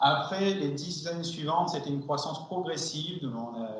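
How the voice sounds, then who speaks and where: Audible room echo and noticeable background noise around a man talking at a moderate pace. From France. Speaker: acoustics company R&D director. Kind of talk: seminar presentation. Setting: seminar with audience. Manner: hesitant, many fillers.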